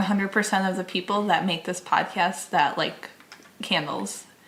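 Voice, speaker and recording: Medium-pitched female speech at a moderate pace, with noticeable background noise. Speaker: podcast host, comedy newscaster. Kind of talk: comedy news podcast banter.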